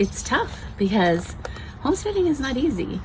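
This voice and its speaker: A woman's moderately paced speech is accompanied by noticeable background noise. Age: 60s. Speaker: homesteading channel host. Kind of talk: casual chat, book review. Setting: outdoors on a patio.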